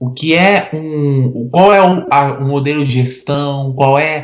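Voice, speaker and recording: Pitched fairly high, a man speaks with lively intonation. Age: 20s. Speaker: sports journalist. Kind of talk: casual chat. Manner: halting, many repetitions.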